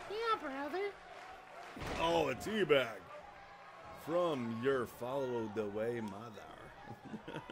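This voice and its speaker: A man of medium pitch talks at a very slow pace with lively intonation. Long, frequent pauses break his speech over noticeable background noise. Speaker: gaming commentator. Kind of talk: live sports-style match commentary, comedic. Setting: home recording of video game. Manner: animated, excitable, laughing, crude banter.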